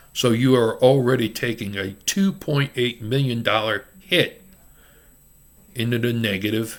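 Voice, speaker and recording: In an ordinary speaking voice, a man with an American accent speaks at a medium pitch with ordinary pitch variation. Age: 60s. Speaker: self-declared presidential candidate. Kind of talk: campaign speech to camera. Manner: casual, off-the-cuff.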